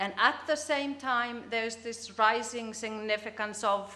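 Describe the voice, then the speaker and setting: A woman's fairly high voice with a Finnish accent at a moderate pace, with audible room echo. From Finland. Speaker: business communication researcher. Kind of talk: conference presentation. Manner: halting.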